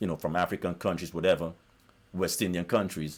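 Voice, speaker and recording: Over a silent background in a very clean recording, a man with a very deep, low voice talks at a fairly quick pace. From South America. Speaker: YouTuber. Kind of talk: monologue rant. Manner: animated.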